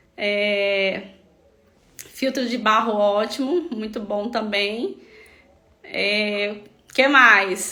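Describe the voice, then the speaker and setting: A woman's fairly high voice at a very slow pace, with long, frequent pauses, ordinary pitch variation and audible room echo. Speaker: health practitioner treating melasma patients. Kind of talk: live stream talk. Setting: online live stream.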